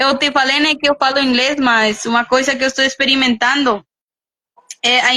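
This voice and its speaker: With a Spanish accent, a woman speaks at a high pitch in a monotone, flat intonation, the sound dry and close with no echo. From Guatemala. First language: Spanish (speaking Portuguese). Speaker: missionary. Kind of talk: testimony. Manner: halting.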